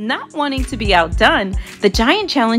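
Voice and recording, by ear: The passage is read aloud in a natural voice.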